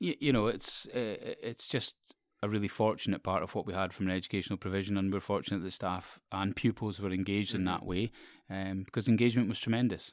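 A man speaks very fast with a Scottish Borders accent and a fairly low pitch. His intonation is fairly even, and the recording is very clean with a silent background. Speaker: school teacher or head. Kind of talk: casual interview. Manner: halting, repeats words.

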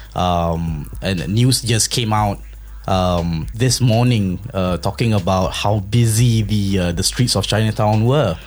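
Very slow speech from a man with a fairly low pitch, ordinary pitch variation and very even loudness, over noticeable background noise. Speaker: podcast host. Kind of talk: casual chat.

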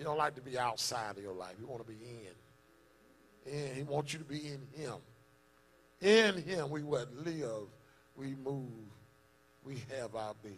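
A medium-pitched man speaks fairly slowly and somewhat breathily, with lively intonation, big swings in loudness and long, frequent pauses, in a room with audible echo. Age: 40s. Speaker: pastor. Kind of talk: sermon. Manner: animated.

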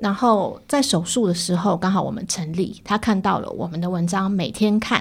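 A somewhat breathy woman's voice at medium pitch, fairly quick in pace, with lively intonation. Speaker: editor-in-chief of a digital media outlet. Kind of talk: interview.

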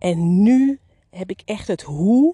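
This woman has a dark, mellow tone at medium pitch, somewhat breathy, with very wide pitch swings. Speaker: business coach for beauty salon owners. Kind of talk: solo podcast monologue. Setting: outdoors in the garden.

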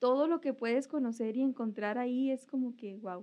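A woman's fairly high voice moves at a fairly slow speed. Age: 20s. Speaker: former intern. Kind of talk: casual chat.

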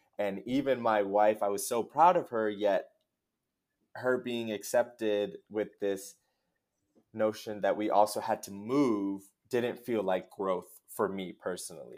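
In an American accent, a man with an unremarkable speaking voice talks at a fairly slow pace, his pitch fairly low with ordinary variation, in a very clean recording with a silent background. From New Jersey, US. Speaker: theologian and social justice practitioner. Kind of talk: podcast interview.

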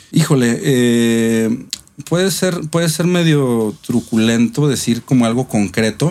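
Speaking at a very slow pace, a man with a medium pitch uses lively intonation and keeps his loudness very even. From Mexico, Monterrey. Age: 40s. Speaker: actor. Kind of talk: interview, life story. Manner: hesitant, many fillers and repetitions.

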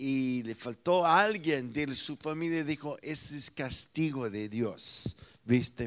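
This man speaks very slowly with an American accent and lively intonation. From United States. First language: English (speaking Spanish). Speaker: pastor. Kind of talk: sermon.

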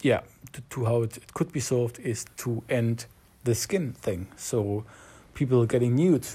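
The delivery is fairly slow and somewhat breathy, with ordinary pitch variation. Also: man, medium pitch for a man. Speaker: job seeker. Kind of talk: voice memo diary. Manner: halting.

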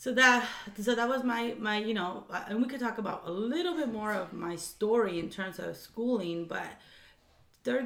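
Noticeable background noise sits behind a woman who keeps a moderate pace and ordinary pitch variation. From Orange County, California (moved from Mexico City at 7). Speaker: education nonprofit co-founder. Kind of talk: casual interview.

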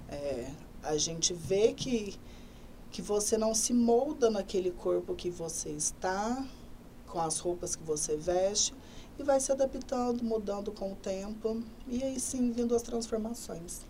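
A woman speaks in a normal speaking voice at a fairly slow pace, her fairly high pitch carried by lively intonation. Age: 20s. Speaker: hairdresser. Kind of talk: interview. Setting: studio.

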